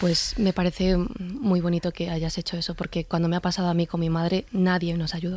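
With an unremarkable speaking voice, a woman talks at a fairly quick pace with hardly any pauses, her pitch fairly low and her intonation fairly even. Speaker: actress. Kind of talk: interview.

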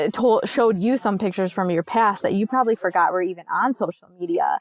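In a Michigan accent, a woman speaks at a medium pitch. Her pitch variation is ordinary. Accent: Michigan, northern US. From Michigan, US. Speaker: podcast host, women's sports radio. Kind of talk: interview.

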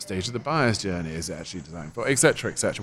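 A man with an English accent talks at a very fast pace, his intonation lively. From England. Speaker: software company co-founder. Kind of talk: interview. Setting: conference.

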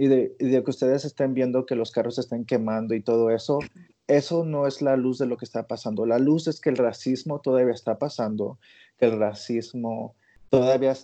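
Against a quiet background, a man speaks at a medium pitch and a moderate pace in a dark, mellow tone with fairly even intonation. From Mexico. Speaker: coworker of the host. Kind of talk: casual chat.

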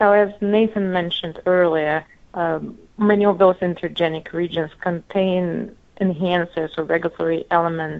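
A woman talks at a moderate pace with a Russian accent. Her pitch is fairly low and her intonation stays monotone and flat. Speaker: medical resident, researcher. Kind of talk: interview.

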